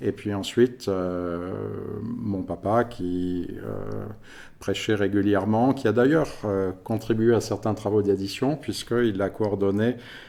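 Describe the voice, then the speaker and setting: At a very slow pace, a man speaks with a fairly low pitch and a dark, mellow tone. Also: ordinary pitch variation. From France (Paris region). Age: 50s. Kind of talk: podcast interview.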